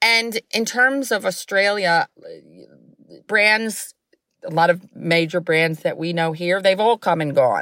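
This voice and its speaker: With an American accent and a bright, sharp tone, the speaker moves at a very slow pace with ordinary pitch variation and long, frequent pauses. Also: woman, medium pitch for a woman. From New York. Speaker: company founder. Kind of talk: interview.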